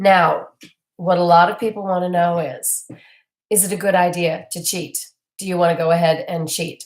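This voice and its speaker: The woman talks at a medium pitch, her voice somewhat breathy. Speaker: keto diet coach. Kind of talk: casual talk to camera.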